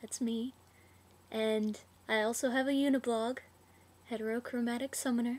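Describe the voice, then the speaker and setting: High-pitched woman with an American accent, monotone and flat in intonation, at a moderate pace with long, frequent pauses. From US South. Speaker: vlogger. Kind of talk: casual Q&A vlog. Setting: laptop webcam recording. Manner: casual, hesitant with fillers.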